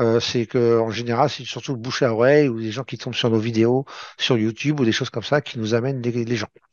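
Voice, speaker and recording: Fairly even intonation runs through this man's medium-pitched voice as he speaks at a fairly quick pace. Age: 50s. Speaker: trader and trading trainer. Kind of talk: webinar presentation. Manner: hesitant, many fillers.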